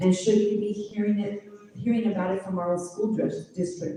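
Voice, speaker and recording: The speech keeps a moderate pace while noticeable noise sounds in the background. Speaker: constituent asking a question. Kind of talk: audience question at town hall. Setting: town hall with live audience. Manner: halting.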